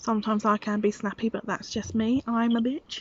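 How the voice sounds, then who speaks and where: A woman speaks with a British accent at a moderate pace. Her fairly high voice stays monotone and flat. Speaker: vlogger and preschool teacher. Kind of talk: casual vlog monologue. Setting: outdoors in garden.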